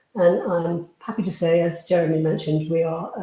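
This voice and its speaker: With audible room echo, a woman speaks in a British accent at a fairly low pitch. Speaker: housing charity leader. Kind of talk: conference presentation.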